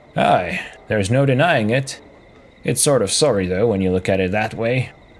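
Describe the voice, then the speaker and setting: Putting on a gruff character voice, a man talks at a moderate pace and medium pitch with lively intonation. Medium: game stream. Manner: curt, gruff.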